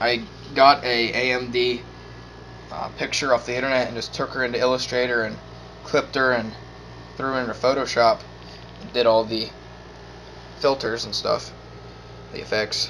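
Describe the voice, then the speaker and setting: A man speaks at a medium pitch in a monotone, flat intonation at a moderate pace. Long, frequent pauses break up his speech, and background noise is noticeable. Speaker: gaming setup vlogger. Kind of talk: casual chat.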